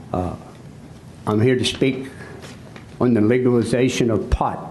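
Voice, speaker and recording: A man talks fairly slowly, with audible room echo and noticeable background noise behind him. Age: 70s. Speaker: citizen speaker at public comment. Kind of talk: public comment speech. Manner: impassioned.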